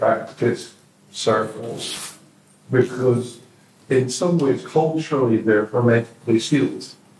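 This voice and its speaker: A man's medium-pitched voice with fairly even intonation over noticeable background noise. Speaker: audience participant. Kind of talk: group discussion. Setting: in-person community event with audience.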